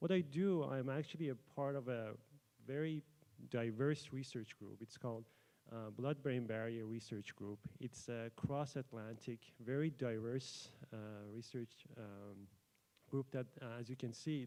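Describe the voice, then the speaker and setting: This man speaks with a Persian accent at medium pitch, in a dark, mellow tone with ordinary pitch variation. His pace is fairly slow, broken by long, frequent pauses. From Iran. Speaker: PhD student researcher. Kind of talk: conference presentation. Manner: hesitant, many fillers.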